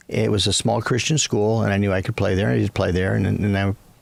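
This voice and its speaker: Speaking at a very fast pace with an American accent, a man with a fairly low pitch shows lively intonation and vocal fry. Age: 60s. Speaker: business chairman and former coach. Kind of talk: interview.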